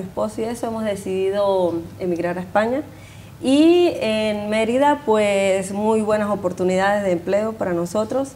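A woman talks at a fairly slow pace over light background noise. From Venezuela. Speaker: neighborhood association member. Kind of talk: TV interview. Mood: warm, friendly. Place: studio. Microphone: lapel.

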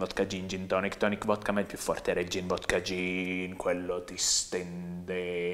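At a moderate pace and with hardly any pauses, a man speaks in a very deep, low pitch. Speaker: comedian. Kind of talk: comic monologue, deadpan guided tour of a packed party. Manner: breathless run-on escalation, piling clause on clause; dry, sardonic narration with mock-lyrical flourishes. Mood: ironic, satirical. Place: studio. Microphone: lapel.

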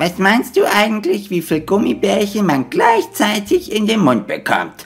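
A cartoonish character voice with a fairly high pitch moves at a moderate pace. Faint music plays in the background. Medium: puppet show.

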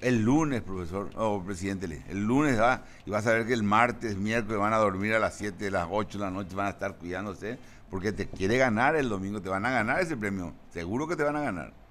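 A fairly low-pitched man at a fairly quick pace, with ordinary pitch variation and audible room echo. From Paraguay. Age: 70s. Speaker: football coach. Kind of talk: interview.

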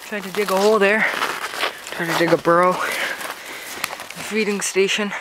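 Loud background noise fills the recording. The voice itself sounds dry, with no echo. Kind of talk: casual commentary. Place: forest. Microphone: phone near.

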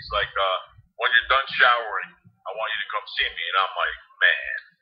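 Someone speaks at a moderate pace with a New Jersey accent. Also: man. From New Jersey (Harrison, Hudson County). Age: 40s. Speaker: former pro football quarterback and sports analyst. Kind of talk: casual interview.

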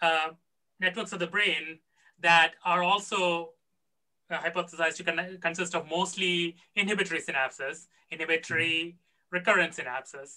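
The speech moves at a moderate pace against a quiet background. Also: man. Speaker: conference emcee. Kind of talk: moderated Q&A. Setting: video call. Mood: curious, friendly. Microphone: webcam.

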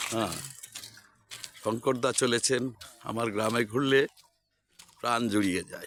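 This man has a plain, everyday voice, pitched medium, with fairly even intonation. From West Bengal, India. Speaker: village vlogger. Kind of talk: walking vlog narration. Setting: outdoors.

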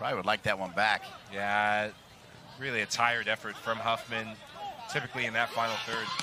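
An animated, excited man at medium pitch, fairly quick in pace yet full of long, frequent pauses, over noticeable background noise. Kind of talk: live sports commentary. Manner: animated play-by-play, excited, punchy calls on shots and goals.

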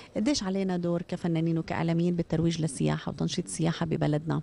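A woman speaks very fast in a dark, mellow tone. Her pitch sits fairly low, with light background noise behind her. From Jordan. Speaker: morning TV show host. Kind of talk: TV interview. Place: hall. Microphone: handheld.

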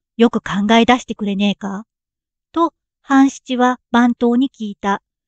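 A woman speaks in a calm tone at a fairly slow pace with ordinary pitch variation, the sound dry and close with no echo. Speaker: narrator. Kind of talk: audiobook reading of a classic story. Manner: calm, sleep-inducing.

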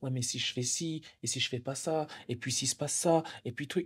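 Over a quiet background, a man's tone comes across as dark and mellow. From France, Swiss border area; France. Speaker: entrepreneur; interviewee. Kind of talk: casual chat; interview answer. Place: cafe. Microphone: handheld.

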